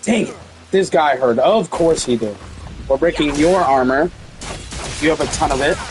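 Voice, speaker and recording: A man speaks at a moderate pace with lively intonation and an animated tone, leaving long, frequent pauses while music plays in the background. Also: fairly high pitch for a man. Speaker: gaming video creator. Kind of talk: gameplay commentary.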